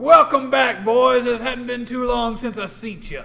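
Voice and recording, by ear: Loud and projected, a man puts on a gruff character voice with a Southern accent, pitched extremely high, at a moderate pace.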